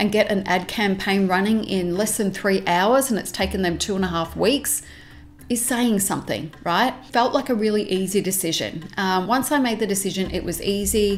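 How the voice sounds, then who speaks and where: The pitch varies in an ordinary way. A woman delivers her words at a moderate pace. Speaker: business coach. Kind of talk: casual vlog chat. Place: home room.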